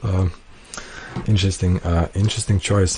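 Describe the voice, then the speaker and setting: Fairly low-pitched male voice with a non-native accent, fairly even intonation, and noticeable background noise. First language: not English. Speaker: tournament organizer and commentator. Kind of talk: live stream commentary. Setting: live stream. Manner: casual, many fillers.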